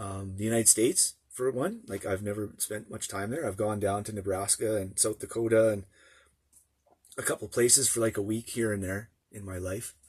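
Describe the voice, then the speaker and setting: In a Canadian prairie accent, a man with a fairly low pitch and a somewhat breathy voice speaks with fairly even intonation. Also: moderate pace. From Canadian prairies, small town. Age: 50s. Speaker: vlogger. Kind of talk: casual vlog monologue. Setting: in a motorhome. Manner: halting, many fillers and restarts.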